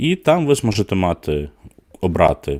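On a very clean recording with a silent background and a dry, close sound with no echo, a man with a fairly low pitch speaks at a moderate pace, his pitch swinging very widely. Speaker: board game news host. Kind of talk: live stream news roundup. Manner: filler-heavy, hesitant (e, e).

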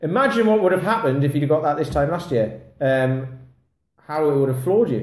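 A man talks at a fairly quick pace with lively intonation and a somewhat breathy sound. Audible room echo is present. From England. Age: 40s. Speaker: kettlebell fitness coach; kettlebell coach. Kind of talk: casual vlog monologue. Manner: rambling, filler-heavy. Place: home room. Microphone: phone near.

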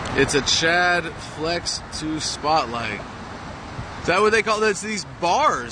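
The voice is raised and projected. The sound is dry with no echo, over light background noise. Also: man. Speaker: activist livestreamer. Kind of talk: casual live commentary. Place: street. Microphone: phone near.

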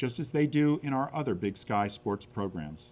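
Fairly quick speech from a man, pitch varying in an ordinary way. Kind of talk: prepared statement. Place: meeting room. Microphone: podium.

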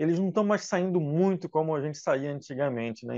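A man with a fairly high pitch speaks at a moderate pace with lively intonation, in a dry recording with no echo and a quiet background. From Brazil, Rio de Janeiro. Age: 40s. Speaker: religious youth leader; radio program host. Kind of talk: casual radio interview. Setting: radio studio. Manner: halting, many fillers. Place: studio. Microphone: lapel.

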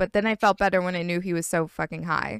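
A woman's fairly quick speech, dry with no echo, over a quiet background. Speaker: streamer. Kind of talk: casual stream chat storytelling. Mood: amused, laughing. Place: home room. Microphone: studio mic.

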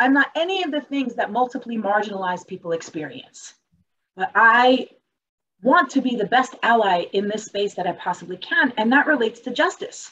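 A woman talks at a high pitch with very wide pitch swings. Her bright, sharp tone moves at a fairly quick pace. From Germany. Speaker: webinar panelist. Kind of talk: keynote presentation in webinar; panel remarks. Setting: video webinar. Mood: earnest, sincere. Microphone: video call.

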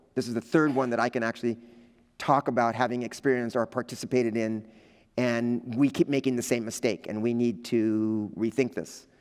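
Against a quiet background, a man with an American accent talks at a fairly quick pace with fairly even intonation. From Los Angeles, US. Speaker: visual artist; visiting artist lecturer. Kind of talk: artist lecture. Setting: lecture hall with audience. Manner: halting, many fillers. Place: hall. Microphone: headset.

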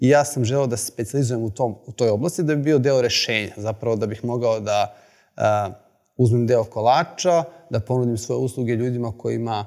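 A man talks at a very fast pace. Behind him the background is quiet. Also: ordinary pitch variation. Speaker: presenter. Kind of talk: lecture. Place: hall.

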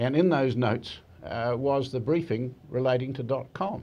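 Speaking at a fairly slow pace, a man with medium pitch, vocal fry, a dark, mellow tone and lively intonation. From New Zealand. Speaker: barrister, legal commentator. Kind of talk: TV interview. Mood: measured, firm opinion. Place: studio. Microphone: lapel.

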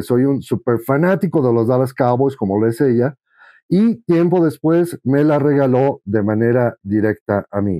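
With lively intonation and a dark, mellow tone, a man speaks at a fairly slow pace against a quiet background, the sound dry with no echo. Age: 50s. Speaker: sports fan and collector. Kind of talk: casual testimony. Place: home room. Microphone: lapel.

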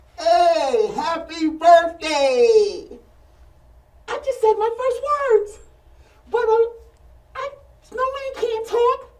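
A put-on character voice, squeaky and extremely high-pitched, at a very slow pace with long, frequent pauses. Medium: comedy sketch.

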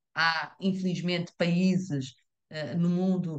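A woman speaks with a European Portuguese accent. Her pitch sits fairly low. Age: middle-aged. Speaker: invited expert speaker. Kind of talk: presentation with slides. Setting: video call.

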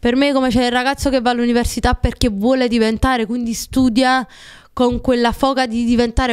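Over a quiet background, a woman with a high pitch talks at a fairly quick pace. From Naples, Italy; Italy. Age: 20s. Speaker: TikTok creator and shop owner; TikTok creator. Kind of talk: casual podcast interview. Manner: animated. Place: studio. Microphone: studio mic.

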